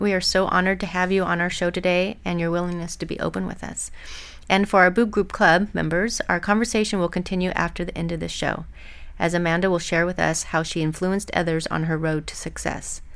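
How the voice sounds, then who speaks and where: A woman with a plain, everyday voice speaks at a fairly quick pace in a fairly low pitch, her intonation fairly even, on a very clean recording with a silent background. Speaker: podcast host and lactation consultant. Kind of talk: interview. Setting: studio.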